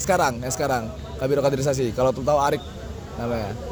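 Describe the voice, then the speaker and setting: Over crowd noise and audible room echo, a man with a fairly high pitch talks at a very fast pace. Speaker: student mentor. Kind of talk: interview answers, casual. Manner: casual slang.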